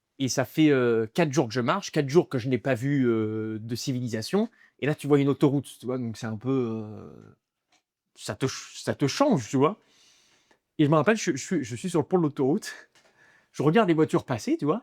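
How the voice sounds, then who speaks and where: In a very clean recording with a silent background and a dry, close sound with no echo, a man talks at a moderate pace and medium pitch with lively intonation and long, frequent pauses. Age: 20s. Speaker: stand-up comedian. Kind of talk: interview answer. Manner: casual, conversational.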